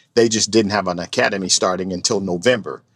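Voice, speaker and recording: Someone with a Chicago accent speaks at a fairly quick pace with ordinary pitch variation, in a very clean recording over a silent background. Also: man. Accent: Chicago city. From Chicago, west side inner city. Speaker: retired state trooper. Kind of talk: interview. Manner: halting, many fillers and repeats.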